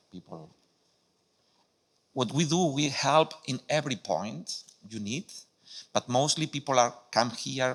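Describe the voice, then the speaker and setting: Speaking with a Spanish accent, a man keeps a moderate pace. His medium-pitched voice has lively intonation. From Spain. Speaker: welcome center adviser. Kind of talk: conference presentation. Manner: halting, many fillers and restarts.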